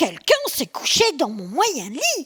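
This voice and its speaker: A woman puts on a character voice with a high pitch and very wide pitch swings. She speaks at a fairly slow pace. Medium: read story. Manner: exclaiming.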